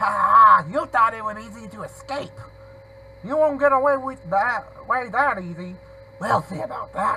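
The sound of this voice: Putting on a character voice, a man speaks high in pitch with a bright, sharp tone, vocal fry and ordinary pitch variation. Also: moderate pace.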